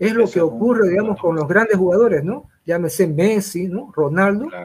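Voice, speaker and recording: Ordinary pitch movement in a high male voice. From Santa Cruz, Bolivia. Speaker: sports physician. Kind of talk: interview.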